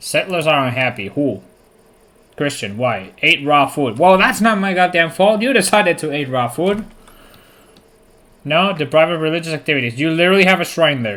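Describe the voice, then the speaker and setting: A man's animated, bright, sharp voice, fairly high in pitch, with a Spanish accent, very wide pitch swings, a moderate pace and long, frequent pauses. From Spain, near Toledo. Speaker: video game streamer. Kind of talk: live gameplay commentary. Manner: casual, animated.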